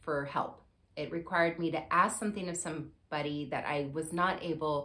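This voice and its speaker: Moderate pace from a female speaker. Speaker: show host. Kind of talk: personal talk-show monologue. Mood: warm, candid storytelling.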